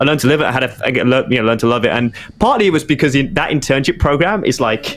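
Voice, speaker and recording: Music plays behind a man talking very fast at a fairly high pitch. His loudness stays very even, with ordinary pitch variation. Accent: British. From Birmingham, England. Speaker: digital marketing director. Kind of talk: podcast interview. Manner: halting, many repetitions and fillers.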